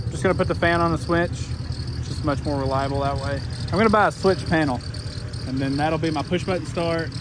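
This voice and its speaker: A man speaks fairly quickly in a dry sound without echo, with noticeable background noise behind him. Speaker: car vlogger. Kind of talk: casual vlog chat. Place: garden. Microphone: phone near.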